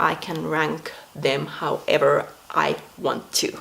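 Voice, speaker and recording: Against noticeable background noise, a woman speaks with a Finnish accent. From Finland. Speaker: video blogger. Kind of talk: casual monologue. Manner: non-native, some pronunciation mistakes.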